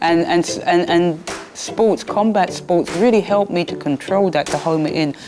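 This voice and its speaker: A woman with a London accent speaks at a moderate pace and fairly low pitch. Her pitch varies in an ordinary way, over noticeable background noise. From London, Peckham. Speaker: former boxer. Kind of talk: documentary interview.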